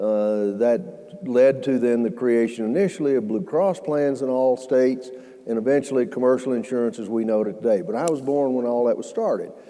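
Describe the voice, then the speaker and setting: Against noticeable background noise, a man talks at a fairly quick pace with hardly any pauses. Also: medium pitch for a man, ordinary pitch variation. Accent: Southern US. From US South (Alabama). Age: 70s. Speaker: healthcare entrepreneur. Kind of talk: fireside chat talk. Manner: halting, many fillers.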